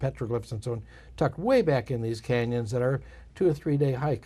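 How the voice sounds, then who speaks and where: Somewhat breathy, a man talks in a dark, mellow tone with fairly even intonation. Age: 60s. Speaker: photographer and author. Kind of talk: casual interview. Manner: halting.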